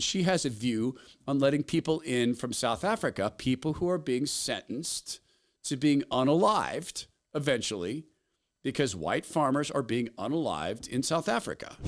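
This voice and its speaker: There is vocal fry in this man's medium-pitched voice, with lively intonation at a moderate pace. The recording is very clean, with a silent background. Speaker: talk show host. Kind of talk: opinion monologue. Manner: passionate.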